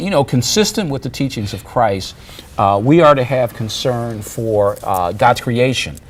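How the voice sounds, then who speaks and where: With an American accent, a man talks fairly slowly at a medium pitch and with lively intonation, over noticeable background noise. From Chicago, US Midwest. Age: 60s. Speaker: pastor and show host. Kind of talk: discussion show interview. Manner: halting, many fillers and restarts.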